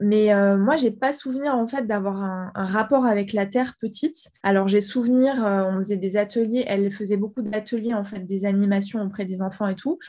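On a very clean recording with a silent background, a woman with a dark, mellow, somewhat breathy tone talks at a moderate pace with hardly any pauses. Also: medium pitch for a woman, ordinary pitch variation. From Guadeloupe. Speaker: ceramicist and architect. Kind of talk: interview.

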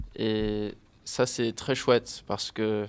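Here a man speaks in an English accent with monotone, flat intonation. The recording is very clean and the background silent. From US, Miami, Florida. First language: English (speaking French). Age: 20s. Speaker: English language assistant. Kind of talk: interview. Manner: halting.

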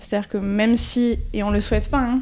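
A woman's voice with a dark, mellow tone. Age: 30s. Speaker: sports club event project manager. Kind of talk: interview answers to school pupils.

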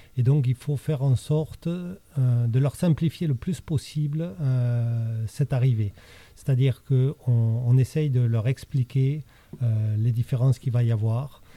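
A man talks at a fairly slow pace in a medium pitch. His voice is somewhat breathy. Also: ordinary pitch variation, dry, close sound with no echo. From France, childhood in Chile and Morocco. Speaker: school principal. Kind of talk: interview. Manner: hesitant.

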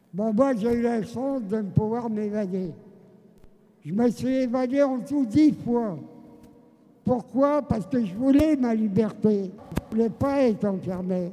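A man's high-pitched voice at a very slow pace, with long, frequent pauses, ordinary pitch variation and noticeable background noise. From France, Seine-et-Marne. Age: 90s. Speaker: genocide survivor and former resistance fighter. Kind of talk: testimony.

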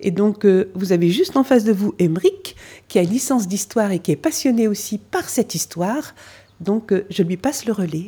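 Somewhat breathy and with a dark, mellow tone, a woman speaks at medium pitch and a moderate pace with lively intonation. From French Flanders (Nord). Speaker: museum association president, former local councillor. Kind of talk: interview explanation.

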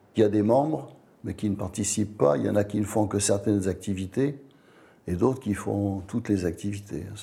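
A man speaks at a fairly quick pace with a dark, mellow tone. His voice is somewhat breathy, with ordinary pitch variation. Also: fairly low pitch for a man. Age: 70s. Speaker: retired charity volunteer. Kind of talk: interview testimony.

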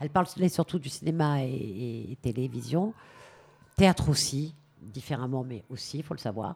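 A woman's very deep, low voice with vocal fry, lively intonation, big swings in loudness, a moderate pace and long, frequent pauses. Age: 50s. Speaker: actress and stage director. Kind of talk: radio interview.

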